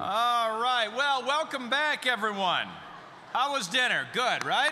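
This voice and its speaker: A man speaks very slowly in a raised, projected voice, bright and sharp in tone and extremely high in pitch, with very even loudness and ordinary pitch variation. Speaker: corporate comedian and emcee. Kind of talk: corporate awards emcee with stand-up jokes. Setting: live conference room with audience. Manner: casual, conversational, humorous.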